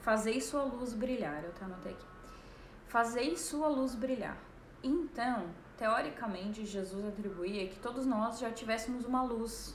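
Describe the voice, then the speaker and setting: Over noticeable background noise and audible room echo, a woman speaks fairly slowly at a fairly high pitch, with ordinary pitch variation and big swings in loudness. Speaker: life coach. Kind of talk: live stream talk.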